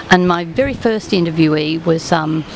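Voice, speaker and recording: A woman's very deep, low-pitched voice at a moderate pace, dry with no echo, amid noticeable background noise. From Australia. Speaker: retired teacher and local writer. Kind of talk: casual interview. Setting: outdoors at a venue, live broadcast. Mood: warm, engaged. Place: cafe. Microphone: studio mic.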